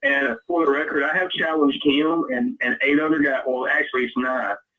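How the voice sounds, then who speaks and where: A man speaks with a strong Southern US accent. His pace is moderate. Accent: deep Southern. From US South, Louisiana. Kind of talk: casual chat. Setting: live stream.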